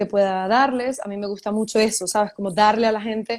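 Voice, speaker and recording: A woman with a Venezuelan accent, a fairly high pitch and monotone, flat intonation at a fairly quick pace, in a very clean recording with a silent background. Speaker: writer and journalist. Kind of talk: casual interview.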